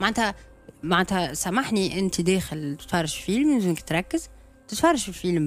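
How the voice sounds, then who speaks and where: Over faint background music, a woman with a Tunisian accent talks at a fairly quick pace with very wide pitch swings, the sound dry with no echo. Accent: Tunisian Arabic with French code-switching. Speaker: actress. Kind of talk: casual interview chat. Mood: explaining, slightly defensive. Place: studio. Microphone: studio mic.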